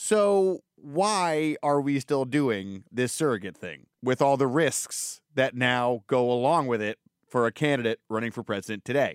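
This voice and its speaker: In a dry, close recording with no echo, a man with an unremarkable speaking voice and a medium pitch talks at a fairly slow pace with lively intonation. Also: hardly any pauses. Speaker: podcast host and political reporter. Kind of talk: casual podcast conversation.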